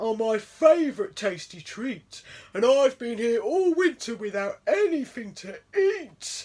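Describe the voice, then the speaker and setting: In a very clean recording with a silent background, a high-pitched, put-on character voice swings very widely in pitch at a fairly slow pace. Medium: read story.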